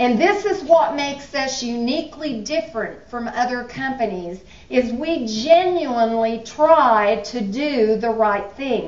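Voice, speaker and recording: High-pitched female voice with lively intonation at a fairly slow pace, plus audible room echo and noticeable background noise. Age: 70s. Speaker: business executive. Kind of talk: motivational speech. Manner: animated.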